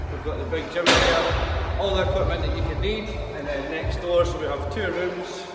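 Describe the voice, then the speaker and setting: A man talks at a moderate pace amid loud background noise, with audible room echo. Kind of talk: interview answer. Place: gym. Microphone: phone near.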